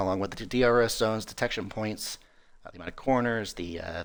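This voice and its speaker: In an American accent, the speaker talks at a fairly quick pace with ordinary pitch variation, in a very clean recording with a silent background. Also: man. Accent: American (to European listeners). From US Midwest, North Dakota. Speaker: esports race commentator. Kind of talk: live commentary. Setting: live stream. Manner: casual, halting with fillers.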